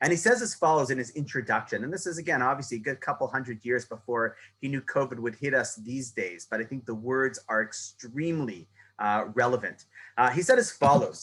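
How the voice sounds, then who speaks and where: Pitch moves in an ordinary way while the speech runs fairly quickly. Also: man, medium pitch for a man. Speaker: rabbi. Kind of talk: lecture. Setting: video call. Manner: fast.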